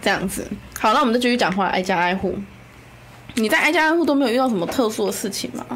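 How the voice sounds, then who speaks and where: A woman with a fairly high pitch and lively intonation speaks very fast yet leaves long, frequent pauses, with audible room echo and noticeable background noise. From Kaohsiung, Taiwan. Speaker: city council candidate. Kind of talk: casual chat.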